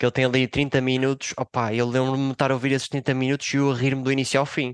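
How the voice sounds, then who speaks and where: A man with a medium pitch speaks at a very fast pace, his loudness very even. His intonation is flat and monotone, and the sound is dry and close with no echo. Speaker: comedian and psychologist. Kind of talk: casual chat. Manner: hesitant, filler-heavy.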